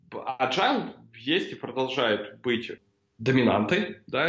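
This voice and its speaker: A man's voice at medium pitch. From Ukraine. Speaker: IT business consultant. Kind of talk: casual interview.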